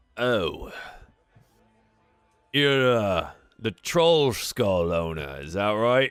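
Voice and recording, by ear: Putting on a character voice, a man speaks very slowly with a clear, smooth, fairly bright tone, fairly low pitch, and big pitch swings.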